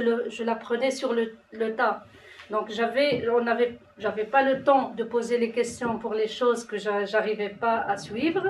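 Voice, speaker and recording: A woman's fairly high voice with ordinary pitch variation, a non-native accent and noticeable background noise. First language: not French (speaking French). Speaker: citizen panel participant. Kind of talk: testimony. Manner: halting.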